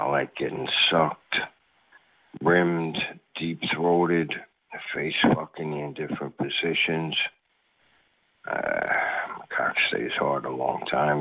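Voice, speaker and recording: A man speaks at a very slow pace. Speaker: chat line caller. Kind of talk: recorded greeting. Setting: phone call.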